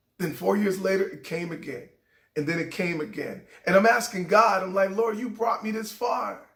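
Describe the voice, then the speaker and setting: A man with a high pitch talks at a moderate pace, with ordinary pitch variation. Room echo is audible. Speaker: motivational speaker, former radio DJ. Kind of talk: motivational talk.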